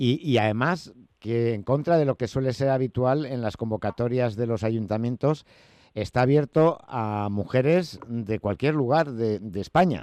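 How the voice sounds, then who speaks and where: Over a quiet background, a man speaks fairly slowly at a medium pitch with ordinary variation, his tone dark and mellow and the sound dry and close with no echo. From Spain. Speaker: radio host. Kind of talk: radio interview.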